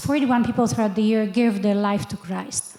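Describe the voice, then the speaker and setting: A woman speaks with a Polish accent and a fairly high pitch. Background noise is noticeable. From Poland. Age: 50s. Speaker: missionary. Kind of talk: testimony.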